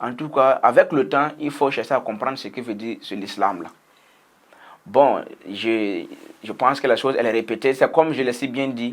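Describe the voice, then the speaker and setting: A man's medium-pitched voice with a Burkinabe accent at a moderate pace, ordinary pitch variation, big swings in loudness and long, frequent pauses. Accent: Burkinabè French. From Burkina Faso. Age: young. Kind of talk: personal testimony, interview answer.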